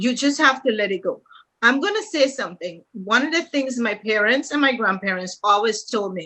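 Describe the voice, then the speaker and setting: Using a plain, everyday voice, a woman talks at a moderate pace with a fairly high pitch. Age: 60s. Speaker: real estate agent. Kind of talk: casual panel conversation.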